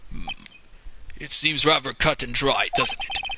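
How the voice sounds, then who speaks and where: A man puts on a raspy character voice and speaks at a fairly slow pace, with clear background noise behind him. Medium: game stream. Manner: formal, measured.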